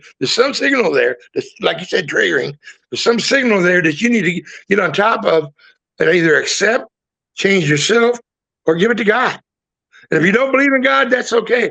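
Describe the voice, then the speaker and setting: A raised, projected voice with a bright, sharp tone and lively intonation. Long pauses come frequently. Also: man, high pitch for a man, fairly quick pace. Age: 60s. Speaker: retired veteran sharing experience. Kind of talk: webinar conversation, personal testimony.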